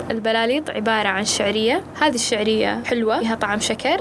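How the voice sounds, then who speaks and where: A woman with a Kuwaiti accent speaks at a moderate pace in a fairly high pitch. Noticeable background noise runs behind her. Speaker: podcast host. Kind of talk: solo podcast narration, casual storytelling.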